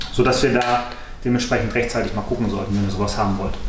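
A man talks amid light background noise, his voice carrying an audible room echo. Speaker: motorcycle dealer presenting a new bike; presenter. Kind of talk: product presentation video. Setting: motorcycle workshop. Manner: casual with frequent fillers (äh, ne). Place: workshop. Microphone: camera far.

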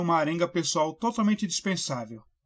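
A man talks at a high pitch. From Brazil, São Paulo state (Mauá). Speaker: book reviewer. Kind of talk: scripted book review.

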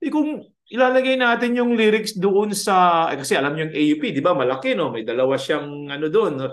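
With very wide swings in pitch, a man talks at a moderate rate while the background stays quiet. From Philippines. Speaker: music professor. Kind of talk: lecture. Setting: video call. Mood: warm, conversational teaching. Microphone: webcam.

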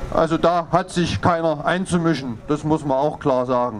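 Light background noise sits behind this clip. A man speaks at a moderate pace. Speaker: speaker. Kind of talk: political speech. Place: street. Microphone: handheld.

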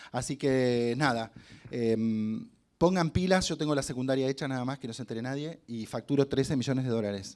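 A man at a moderate pace, ordinary pitch variation, quiet background. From Argentina, Concordia (Entre Ríos); Entre Ríos, Argentina. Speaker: hotel marketing director and actor giving a motivational talk; actor giving a motivational talk. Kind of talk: motivational talk to students. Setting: stage with student audience. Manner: animated. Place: hall. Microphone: handheld.

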